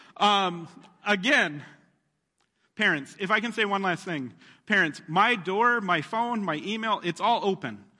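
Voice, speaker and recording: A man speaks in a raised, projected voice at a high pitch, with a bright, sharp tone and lively intonation. His pace is fairly slow, and the background is quiet. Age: 30s. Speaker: pastor. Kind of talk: sermon. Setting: church.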